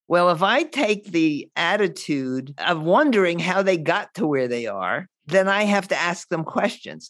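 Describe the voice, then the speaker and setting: Very wide pitch swings run through speech delivered at a moderate pace. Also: woman. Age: 80s+. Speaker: money coach and podcast host. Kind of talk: interview conversation.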